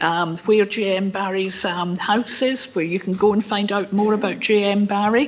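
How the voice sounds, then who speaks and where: Over noticeable background noise, a woman talks at a moderate pace and medium pitch, with hardly any pauses. Her intonation stays fairly even. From Scotland, North Lanarkshire. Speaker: member of the public presenting a petition. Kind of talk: public meeting address.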